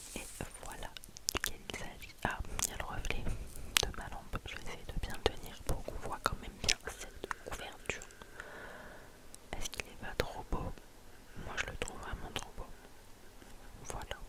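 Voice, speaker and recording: Whispering comes at a moderate pace, broken by long, frequent pauses, with noticeable background noise behind it. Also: woman. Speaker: ASMR creator reading book recommendations. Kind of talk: whispered book review / reading. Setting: ASMR with tapping sounds, headphones. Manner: close whisper, soft-spoken.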